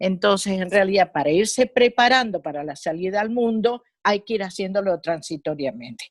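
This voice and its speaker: Lively intonation in an Argentine accent, on a very clean recording with a silent background. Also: woman, dry, close sound with no echo. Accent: Argentine Spanish (Rioplatense). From Argentina. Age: 70s. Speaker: psychologist. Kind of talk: interview. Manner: hesitant, with fillers.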